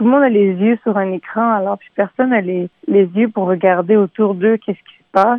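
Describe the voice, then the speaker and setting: The speaker has a normal speaking voice. Pitch varies in an ordinary way. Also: woman. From Montreal, Quebec. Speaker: singer-songwriter. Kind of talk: radio interview.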